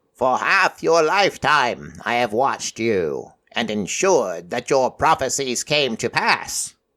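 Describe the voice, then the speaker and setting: Using a put-on character voice, a man speaks croakily at a medium pitch and a fairly slow pace, with hardly any pauses. The recording is very clean, with a silent background. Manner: serious, prophetic.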